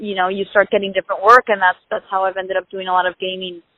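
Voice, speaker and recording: This voice belongs to a woman. She talks at a medium pitch. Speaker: actress. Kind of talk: interview.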